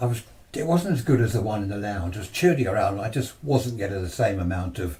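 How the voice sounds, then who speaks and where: In an English accent, a man with a dark, mellow, somewhat breathy tone speaks at a fairly low pitch and fairly quick pace, his pitch swinging very widely. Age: 70s. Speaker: amateur radio operator. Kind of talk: talk to a club audience. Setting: club presentation with audience. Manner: conversational, hesitant.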